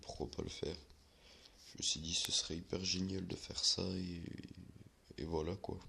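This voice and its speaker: A soft-spoken man with a very deep, low pitch and a bright, sharp tone, at a fairly slow pace. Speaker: gaming youtuber. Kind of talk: gameplay commentary. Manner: halting, many fillers.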